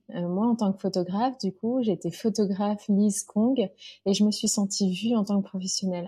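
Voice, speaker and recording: A woman's voice has a dark, mellow tone and is somewhat breathy. The recording is very clean, with a silent background. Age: 40s. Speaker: business coach for mothers. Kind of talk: interview.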